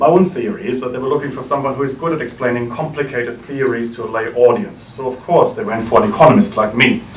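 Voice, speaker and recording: With a German accent, a man talks very fast at a medium pitch. Audible room echo and noticeable background noise come through. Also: ordinary pitch variation. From Germany. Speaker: think tank director. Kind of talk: welcome speech. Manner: formal.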